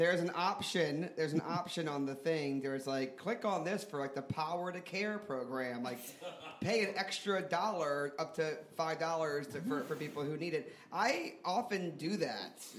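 Audible room echo and noticeable background noise fill this recording of a man with an American accent. His pitch is fairly high and his pace moderate. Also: ordinary pitch variation. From US South, New Orleans. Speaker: comedy theater founder and improviser. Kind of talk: live comedy podcast storytelling. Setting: stage with audience.

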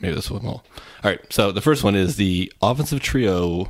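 Speaking at a moderate pace, a man with an unremarkable speaking voice keeps a fairly low pitch with ordinary pitch variation, in a very clean recording with a silent background. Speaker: podcast co-host and sports writer. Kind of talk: casual sports podcast discussion.

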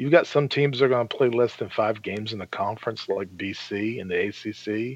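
An ordinary speaking voice comes from a man at a medium pitch and a moderate pace. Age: 60s. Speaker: sports podcast panelist. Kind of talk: casual chat.

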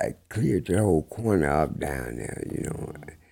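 A man's very deep, low voice with a dark, mellow tone, in an American accent. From Peoria, Illinois. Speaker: guest. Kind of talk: casual chat.

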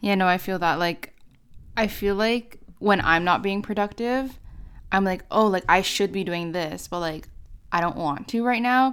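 Here is a woman with a plain, everyday voice at medium pitch. She talks at a moderate pace with ordinary pitch variation. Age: 20s. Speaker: university student and YouTuber. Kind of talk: interview.

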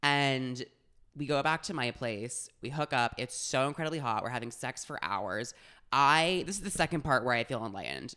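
The voice carries an animated tone at a moderate pace. The recording is very clean, with a silent background. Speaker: podcast co-host. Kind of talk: casual banter, comedic storytelling. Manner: animated, excitable.

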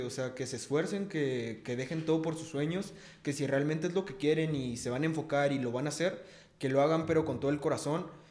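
A man's fairly high voice at a fairly quick pace, with ordinary pitch variation and audible room echo. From Mexico City. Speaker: rapper. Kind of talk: casual chat.

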